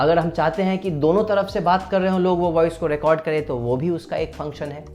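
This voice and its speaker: Music plays in the background as a man speaks at a moderate pace in a fairly high pitch. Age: 20s. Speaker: dubbing artist, poet and vlogger. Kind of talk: casual talk to camera. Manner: friendly, upbeat.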